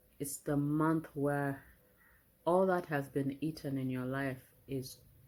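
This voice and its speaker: Soft-spoken and very slow, a woman speaks with a very deep, low pitch. Her intonation is fairly even. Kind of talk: prophetic message and scripture reading.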